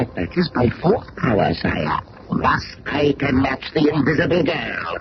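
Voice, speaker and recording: Using a put-on character voice, the man pitches his speech fairly high. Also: fairly slow pace. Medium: old radio play. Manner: grandiose, gloating.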